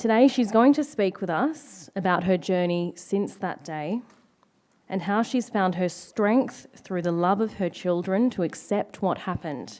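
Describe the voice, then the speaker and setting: A woman with an Australian accent, medium pitch, lively intonation and a fairly slow pace. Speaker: event MC. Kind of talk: event hosting. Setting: stage with audience.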